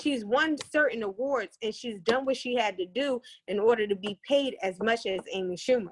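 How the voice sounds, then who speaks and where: A normal speaking voice from a woman, fairly high-pitched, moderately paced, ordinary in its pitch variation. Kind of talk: casual chat.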